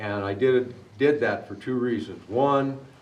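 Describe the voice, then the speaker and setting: There is audible room echo as a man with an American accent talks with ordinary pitch variation. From Arizona. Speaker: war veteran. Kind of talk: testimony. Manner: halting.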